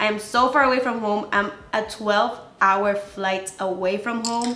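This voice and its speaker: A woman with a Spanish accent speaks at a medium pitch in an animated tone. Music plays behind her, and the room echo is audible. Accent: Spanish-speaker. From Dominican Republic (born in Venezuela). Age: 20s. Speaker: beauty YouTuber. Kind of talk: casual vlog talk to camera.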